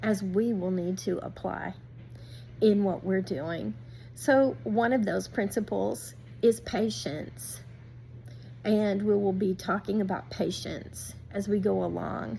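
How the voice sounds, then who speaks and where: Speaking at a very slow pace, a woman has a medium pitch, a dark, mellow tone and vocal fry. Her pitch swings are very wide. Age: 60s. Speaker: youtuber, homesteader and gardener. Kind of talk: casual vlog talk to viewers.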